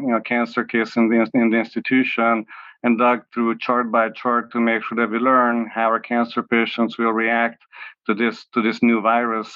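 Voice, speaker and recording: At a moderate pace, a man with a medium pitch speaks with a Hungarian accent. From Hungary (Budapest). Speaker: oncology professor. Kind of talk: interview. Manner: hesitant, many fillers and repeats.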